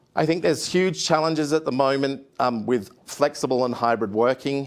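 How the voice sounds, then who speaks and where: This man talks in an Australian accent at a moderate pace and medium pitch. His pitch varies in an ordinary way, and the recording is very clean with a silent background. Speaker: HR consultant, industry expert panelist. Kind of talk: conference talk. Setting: studio with live audience. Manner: hesitant, many fillers.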